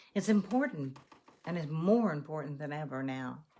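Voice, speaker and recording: With an American accent, a woman speaks at a fairly slow pace in a very deep, low, somewhat breathy voice and a calm tone. Her intonation is lively. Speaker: meditation guide. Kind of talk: guided meditation. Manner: calm, slow, instructive.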